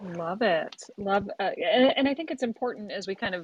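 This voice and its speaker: A woman with a fairly high pitch talks in an unremarkable speaking voice at a moderate pace, with lively intonation and a dry, close sound with no echo. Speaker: consultant and law lecturer, moderator. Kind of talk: panel conversation.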